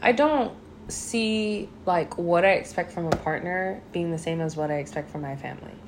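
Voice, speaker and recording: A woman's fairly low voice with ordinary pitch variation over noticeable background noise. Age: 30s. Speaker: host's girlfriend. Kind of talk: casual chat.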